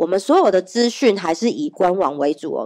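Over a quiet background, a woman with a dark, mellow tone talks at a moderate pace with very wide pitch swings. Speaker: pastor. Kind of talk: sermon. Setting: church. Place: church. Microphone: handheld.

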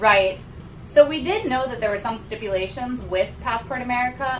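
A woman talks at a moderate pace. Noticeable background noise runs under her voice. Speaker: travel vlogger. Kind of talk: casual vlog chat.

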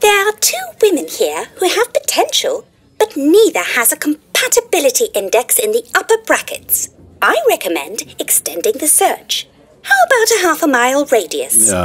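In a put-on character voice, a female-sounding speaker talks at a moderate pace with extremely high pitch. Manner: chirpy, eager, pushy.

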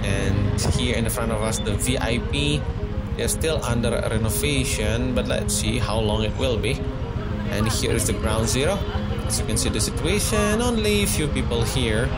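A man at a moderate pace over loud music in the background. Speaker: local driver vlogger. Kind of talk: casual tour commentary. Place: motorbike.

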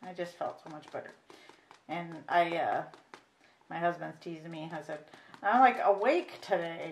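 A woman speaks at a moderate pace and medium pitch with an American accent. Light background noise can be heard. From US Midwest. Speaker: reborn doll artist, video creator. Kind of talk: painting tutorial. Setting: home craft table, camera. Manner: casual, halting with fillers. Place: home room. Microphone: camera far.

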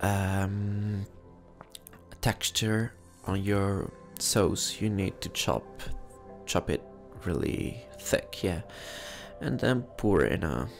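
Over music in the background, a man with a fairly low pitch talks at a very slow pace with lively intonation and long, frequent pauses. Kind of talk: ASMR cooking video, casual talk to camera. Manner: whispered, soft-spoken.

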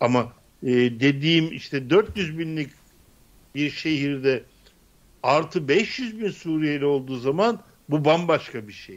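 The speech moves at a very slow pace, broken by long, frequent pauses. Its intonation is lively, with big swings in loudness. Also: man, fairly high pitch for a man. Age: 60s. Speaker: political commentator. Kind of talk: political panel discussion. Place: home room. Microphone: studio mic.

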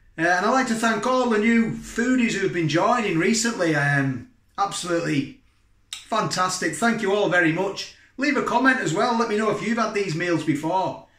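Over a quiet background with audible room echo, a man with a high pitch talks at a moderate pace. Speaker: food reviewer. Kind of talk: casual vlog chat. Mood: cheerful, chatty. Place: kitchen. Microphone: phone near.

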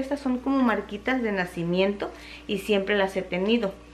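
Over light background noise, a woman speaks at a moderate pace with lively intonation. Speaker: home vlogger. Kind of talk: casual vlog chat. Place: kitchen. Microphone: phone near.

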